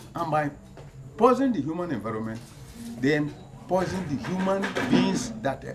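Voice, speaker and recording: Lively intonation marks this man's speech. Audible room echo and noticeable background noise surround it. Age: 80s+. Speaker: community elder and activist. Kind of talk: public appeal. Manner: halting.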